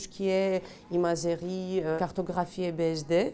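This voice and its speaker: Over noticeable background noise, a woman talks with monotone, flat intonation. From Greece. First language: Greek (speaking French). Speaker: electron microscopy engineer. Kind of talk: workplace portrait interview. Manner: hesitant, many fillers.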